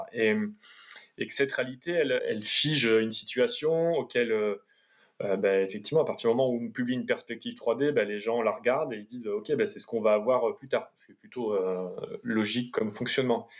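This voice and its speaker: Speaking at a fairly quick pace, a man at medium pitch shows ordinary pitch variation. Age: 30s. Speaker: urban planner and geographer. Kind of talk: interview. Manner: halting.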